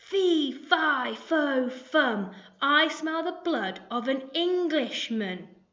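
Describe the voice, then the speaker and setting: In a loud, put-on character voice, a woman speaks at a high pitch and a very slow pace. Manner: booming, loud.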